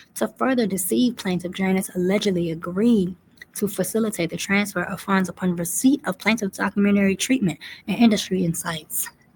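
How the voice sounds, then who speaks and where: A woman talks at a fairly quick pace, her voice somewhat breathy. Her pitch is medium, with ordinary variation. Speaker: commentary video host. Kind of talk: reading aloud a legal complaint with commentary. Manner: fast.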